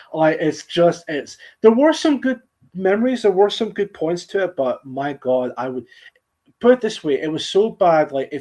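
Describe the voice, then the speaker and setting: A man's dark, mellow voice in a Scottish accent, with lively intonation. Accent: soft Scottish. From Scotland, central belt. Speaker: streamer. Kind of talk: casual chat. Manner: halting, repeats words.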